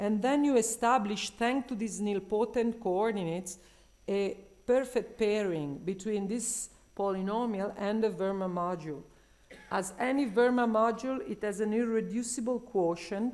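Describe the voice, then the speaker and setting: Audible room echo surrounds a woman with a fairly high pitch. She speaks at a moderate pace with ordinary pitch variation. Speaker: mathematician presenting research. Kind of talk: conference talk.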